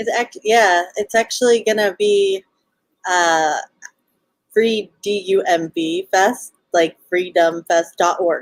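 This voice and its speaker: With a Southern Californian accent, a woman of medium pitch speaks at a very slow pace. The sound is dry and close, with no echo. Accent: Valley Girl. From Los Angeles, California. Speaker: festival organizer, libertarian guest. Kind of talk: casual interview on livestream.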